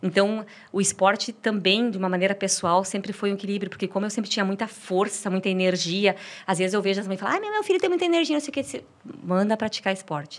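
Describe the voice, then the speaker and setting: Over noticeable background noise, a woman talks at a very fast pace. Her pitch is medium, with ordinary variation. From Brazil, interior of Paraná. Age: 40s. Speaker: marathon runner. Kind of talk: podcast interview. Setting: studio.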